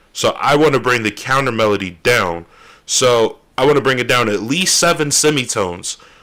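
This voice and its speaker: A loud man speaks at a moderate pace and medium pitch. His tone is bright and sharp, with lively intonation. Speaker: music producer streamer. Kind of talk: tutorial. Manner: casual, loose. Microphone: very close to the microphone.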